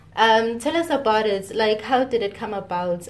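A woman talks at a moderate pace, with noticeable background noise around her. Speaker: podcast host. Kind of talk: interview.

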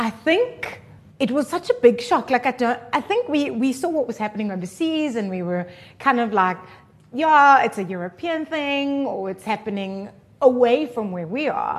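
A woman's high pitch with very wide pitch swings at a moderate pace, against a quiet background. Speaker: radio presenter and producer. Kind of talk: casual interview chat.

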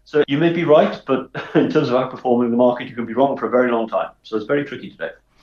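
A man talks at a very fast pace. He has a Welsh accent. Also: medium pitch for a man, fairly even intonation. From South Wales (Swansea). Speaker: investment director. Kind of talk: interview.

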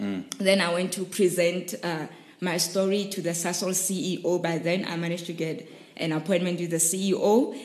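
A woman speaks at a moderate pace in a fairly low voice, with noticeable background noise. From South Africa, Rustenburg. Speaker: startup founder and CEO. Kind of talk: podcast interview.

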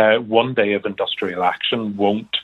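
With a normal speaking voice, a man talks at a moderate pace and medium pitch. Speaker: doctor, GP representative. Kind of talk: radio interview.

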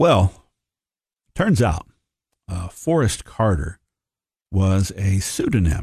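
Against a quiet background, a man speaks at a very slow pace in a somewhat breathy voice with a fairly low pitch. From Tennessee, Upper Cumberland. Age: 50s. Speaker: history professor. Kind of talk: history lecture. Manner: halting, many fillers.

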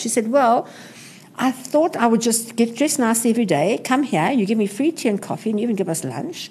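Over noticeable background noise, a woman with a high-pitched voice talks at a very fast pace. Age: 60s. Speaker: retail entrepreneur. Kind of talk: interview. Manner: energetic.

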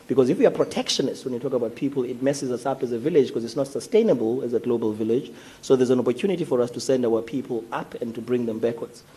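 A man speaks very fast with hardly any pauses and fairly even intonation. Noticeable background noise runs underneath. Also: medium pitch for a man. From Eastern Cape, South Africa. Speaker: business leader and labour representative. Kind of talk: panel discussion.

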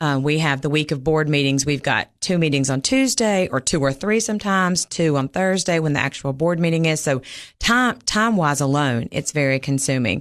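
With a Southern US accent, a woman speaks at a very deep, low pitch and a fairly quick pace, with hardly any pauses and very even loudness, against a quiet background. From Mississippi. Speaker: local politician and nurse practitioner. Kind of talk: interview.

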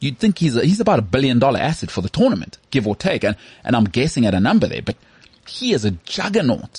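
Here a man speaks very fast at a medium pitch, with vocal fry. His pitch swings very widely. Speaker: sports podcast host. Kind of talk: casual chat. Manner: animated.

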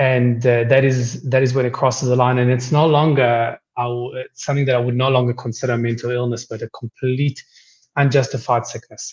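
A man talks fairly quickly at a medium pitch with monotone, flat intonation. His voice is somewhat breathy. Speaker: psychologist guest. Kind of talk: casual radio interview. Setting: radio call-in.

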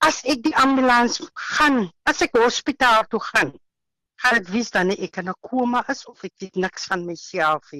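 A woman with a fairly high voice speaks in a bright, sharp tone, her pitch swinging very widely and her loudness rising and falling sharply, in a dry, close recording with no echo. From Western Cape, South Africa. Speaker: housewife sharing healing testimony. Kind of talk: interview testimony. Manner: halting.

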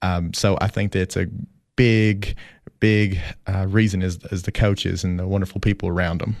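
Spoken with a Tennessee accent at a moderate pace over a quiet background. The delivery is monotone and flat. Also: man, very deep, low pitch for a man. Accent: US Southern (Tennessee). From Tennessee (Fentress County). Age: 30s. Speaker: school athletic director. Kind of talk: casual interview. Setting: studio.

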